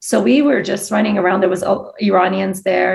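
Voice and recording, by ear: A woman at medium pitch and a fairly quick pace, with vocal fry, a slightly mellow tone, fairly even intonation and audible room echo.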